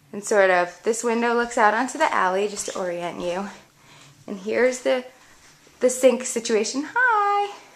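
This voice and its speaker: A woman talks at a moderate pace with ordinary pitch variation and big swings in loudness, with noticeable background noise behind her. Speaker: home decor blogger. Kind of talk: house tour narration. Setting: indoors at home. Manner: quiet.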